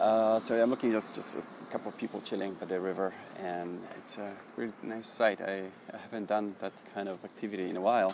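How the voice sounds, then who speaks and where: Very fast, monotone, flat delivery with big swings in loudness and noticeable background noise. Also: man, fairly low pitch for a man. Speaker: podcaster. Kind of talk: casual solo podcast monologue. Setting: outdoors at a train station. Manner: rambling, halting, with many fillers.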